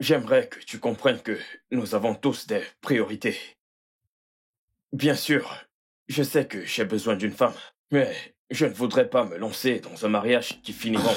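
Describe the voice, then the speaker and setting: Putting on a raspy character voice, a man speaks at medium pitch and a moderate pace with ordinary pitch variation and long, frequent pauses. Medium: fan dub. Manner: warm, relaxed.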